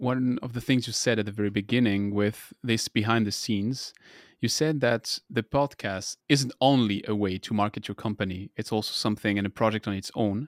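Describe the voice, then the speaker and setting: A man with a French accent speaks at medium pitch and a moderate pace, with hardly any pauses. The recording is very clean, with a silent background. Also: ordinary pitch variation, dry, close sound with no echo. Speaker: podcast host. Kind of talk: interview conversation.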